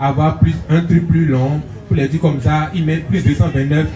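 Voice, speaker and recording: A man speaks at a moderate pace with a fairly high pitch. Noticeable background noise can be heard. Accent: Beninese. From Benin. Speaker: comedian. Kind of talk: interview answer.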